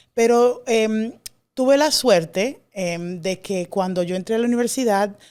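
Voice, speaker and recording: A woman's dark, mellow voice in a Dominican accent, ordinary in pitch variation, on a very clean recording with a silent background. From Dominican Republic. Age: young. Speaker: classics scholar. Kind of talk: interview. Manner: hesitant, many fillers.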